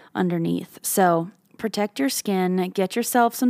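In a very clean recording with a silent background and a dry, close sound with no echo, a woman speaks at a fairly slow pace in a medium pitch with ordinary pitch variation. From Canada. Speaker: podcast host and singer. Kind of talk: casual solo podcast monologue.

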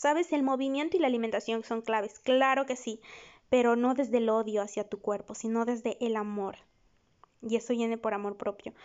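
In a normal speaking voice, a woman talks at a fairly quick pace with a fairly high pitch and ordinary pitch variation. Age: 20s. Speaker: psychologist podcast host. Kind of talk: solo podcast monologue. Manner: warm, conversational.

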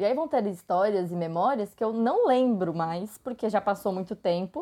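A woman at a fairly quick pace, lively intonation over noticeable background noise. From Brazil, São Bernardo do Campo (São Paulo area). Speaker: traveler, postcard collector. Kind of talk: casual chat.

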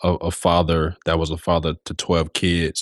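The man's delivery holds a moderate tempo. The recording sounds dry and close, without any echo. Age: 30s. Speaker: podcast host and foster father. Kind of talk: interview.

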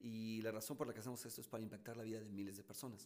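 In a room with audible echo, a man rattles off his words at a very fast pace in a fairly low pitch and an animated tone. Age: 50s. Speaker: motivational speaker and entrepreneur. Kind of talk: interview.

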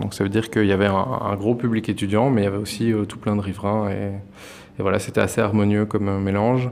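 This man talks at a fairly quick pace in a monotone, flat intonation. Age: 20s. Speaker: cooperative grocery founder. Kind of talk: interview. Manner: hesitant, many fillers.

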